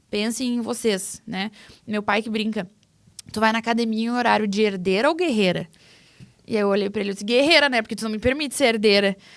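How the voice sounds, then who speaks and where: A woman speaks with a southern Brazilian accent at a fairly quick pace. She leaves long, frequent pauses. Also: fairly high pitch for a woman, ordinary pitch variation. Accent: gaúcho Brazilian Portuguese. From southern Brazil, Rio Grande do Sul (Cruz Alta). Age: 30s. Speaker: farmer and agribusiness communicator. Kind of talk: podcast interview.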